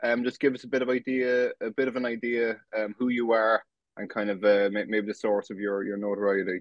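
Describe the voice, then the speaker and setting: Speaking in a Cork accent, this man keeps a monotone, flat intonation at a medium pitch. He moves at a fairly quick pace. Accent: Irish, Cork. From Ireland, West Cork. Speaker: podcast host. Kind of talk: interview. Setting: sit-down video interview. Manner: halting, many false starts.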